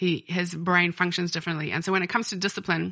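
A woman speaks at a medium pitch with a bright, sharp tone. Her intonation is fairly even, with vocal fry. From South Africa. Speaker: editor and business owner. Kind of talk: casual interview chat. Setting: recorded at her home.

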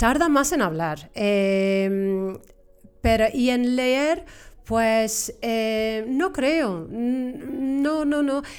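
With an English accent, a woman speaks at a very slow pace in a high voice, her intonation lively and her loudness very even. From Cornwall, England. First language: English (speaking Spanish). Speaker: English teacher and examiner. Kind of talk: interview. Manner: halting, repeats words.

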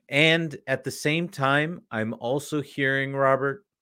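Speaking at a very slow pace, a man with a Canadian accent has a bright, sharp tone on a very clean recording with a silent background. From Canada. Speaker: podcast host. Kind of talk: casual interview.

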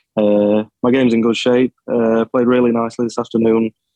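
A man speaks in a Yorkshire accent at a medium pitch. His pace is fairly quick and his intonation monotone and flat. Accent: northern English (Yorkshire). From Sheffield, England. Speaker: amateur golfer. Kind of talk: radio interview.

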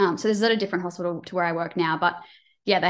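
Against a quiet background, a woman with an Australian accent speaks at a fairly low pitch with fairly even intonation. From Queensland, Australia. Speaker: cardiac nurse. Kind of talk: casual chat.

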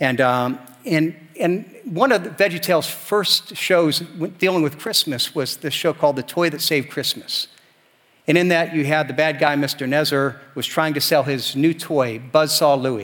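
At a moderate pace, a man uses a normal speaking voice with a fairly high pitch and ordinary pitch variation. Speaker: pastor. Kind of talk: sermon. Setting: church. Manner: earnest, warm, fairly fluent preaching with some repeated starts.

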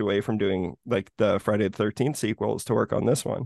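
A normal speaking voice from a man, fairly quick and fairly even in intonation, dry and close with no echo against a quiet background. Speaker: horror podcast host. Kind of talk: casual chat.

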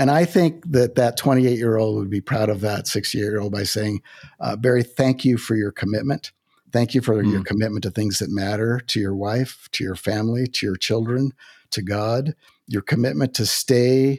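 At a moderate pace, a man talks in an unremarkable speaking voice, medium in pitch with ordinary pitch variation. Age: 60s. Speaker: author and former corporate executive. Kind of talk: interview conversation about faith and work.

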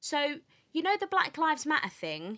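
A woman's raised, projected voice with a bright, sharp tone at a moderate pace. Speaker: podcast host. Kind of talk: podcast discussion.

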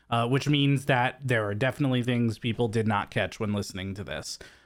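With an American accent, a man speaks in an unremarkable speaking voice at a medium pitch, with ordinary pitch variation and a moderate pace. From California. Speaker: podcast co-host. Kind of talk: casual chat.

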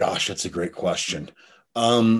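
Against a quiet background, a man talks at a moderate pace in an unremarkable speaking voice. His pitch is fairly low, with ordinary pitch variation. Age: 40s. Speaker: CBD company executive. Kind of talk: interview.

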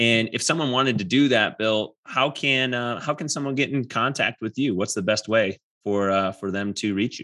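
With an American accent, a man speaks at a moderate pace and medium pitch with ordinary pitch variation and a bright, sharp tone. He leaves hardly any pauses, and the background is quiet. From southeastern Wisconsin. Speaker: podcast host, physical therapist. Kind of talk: casual interview. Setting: video call.

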